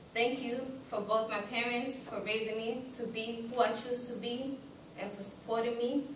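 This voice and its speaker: Audible room echo surrounds the voice, with light background noise underneath. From Kenya. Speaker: student giving graduation speech. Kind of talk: speech. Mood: formal, grateful. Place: classroom. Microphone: camera far.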